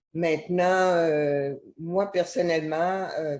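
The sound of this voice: A woman's slow, fairly low-pitched voice with a slightly mellow tone and fairly even intonation.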